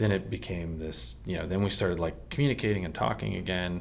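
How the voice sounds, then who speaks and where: A man with a very deep, low voice, an American accent and vocal fry. His intonation is lively, and there is audible echo in the room. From Texas and Maryland, US. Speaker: church member sharing testimony. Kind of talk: testimony.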